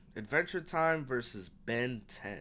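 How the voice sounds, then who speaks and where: The man's tone is bright and sharp. His recording sounds very clean, and the background is silent. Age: 20s. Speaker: streamer. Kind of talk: casual reaction commentary. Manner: animated.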